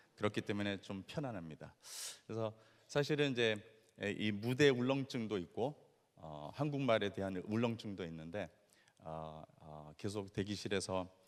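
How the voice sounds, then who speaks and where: This man's voice is fairly low in pitch. He speaks at a moderate pace. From Latin America (born in Brazil). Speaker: missionary. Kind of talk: lecture. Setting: stage with audience. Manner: halting, many fillers.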